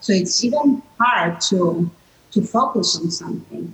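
A woman with an Italian accent speaks at a fairly slow pace with lively intonation over noticeable background noise. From Italy. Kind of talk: panel discussion. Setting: video call.

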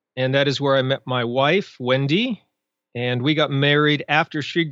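Here is a man with an unremarkable speaking voice, talking at a moderate pace with fairly even intonation. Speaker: blogger, author and podcaster. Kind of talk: casual interview chat.

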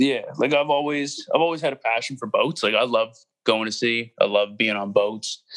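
Using a normal speaking voice at medium pitch, a man talks with ordinary pitch variation. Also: moderate pace. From Nova Scotia, Canada (near Halifax). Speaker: underground hip-hop artist. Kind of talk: casual interview chat.

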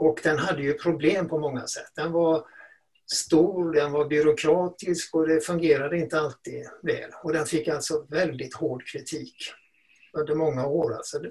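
In a monotone, flat intonation, a man with a fairly high pitch talks at a moderate pace. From Sweden, Gothenburg. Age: old. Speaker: retired teacher and education journalist. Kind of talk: podcast interview.

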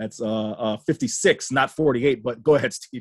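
A man's medium-pitched, plain, everyday voice with an American accent and ordinary pitch variation, dry and close with no echo. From Florida. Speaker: podcast host.

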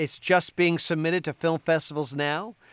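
A man with an American accent and a plain, everyday voice talks at a moderate pace with ordinary pitch variation, on a very clean recording with a silent background and a dry, close sound with no echo. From New Jersey. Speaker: voice actor. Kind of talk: interview.

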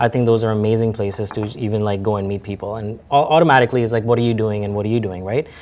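A man speaks very fast with hardly any pauses. His voice is fairly low and his intonation fairly even. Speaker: real estate agent. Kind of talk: interview.

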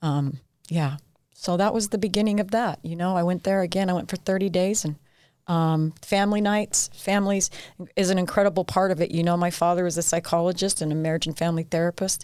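Speaking at a fairly quick pace, a woman with a plain, everyday voice and a fairly low pitch keeps her intonation fairly even. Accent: American. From central Utah, US. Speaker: recovery center staff member in addiction recovery. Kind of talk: personal testimony. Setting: studio.

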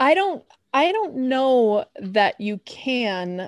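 With a Chicago accent, a woman speaks at a high pitch in a dry, close sound with no echo. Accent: Chicago American. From US Midwest, Chicago. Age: 30s. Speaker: environmental sociologist. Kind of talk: interview.

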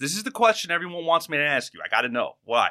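A man with a New York accent, a bright, sharp tone and a fairly quick pace, in a dry, close sound with no echo. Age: 30s. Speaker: podcast host. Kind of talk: casual chat. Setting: studio.

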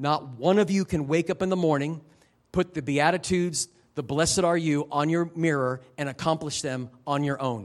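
A man talks in a normal speaking voice, fairly high for a man, keeping a moderate pace and ordinary pitch variation. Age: 50s. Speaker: missionary preacher. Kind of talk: sermon.

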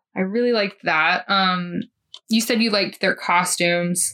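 Speaking at a moderate pace, a woman has a normal speaking voice, a medium pitch and fairly even intonation. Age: 30s. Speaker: podcast host. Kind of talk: casual chat.

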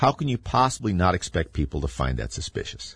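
A man speaks at a moderate pace in a somewhat breathy voice, his pitch swinging very widely, over a quiet background. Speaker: radio host. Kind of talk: political talk radio monologue. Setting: radio studio broadcast.

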